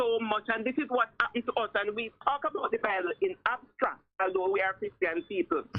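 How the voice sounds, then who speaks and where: At a moderate pace, a woman talks with a fairly high pitch. She has a normal speaking voice with ordinary pitch variation. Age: 60s. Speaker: retired police officer and security consultant. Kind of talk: radio interview.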